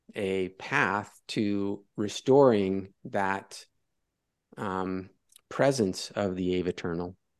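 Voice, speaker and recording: A man talks at a very slow pace with a fairly low pitch. The background is quiet. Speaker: academic discussion participant. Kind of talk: philosophical discussion.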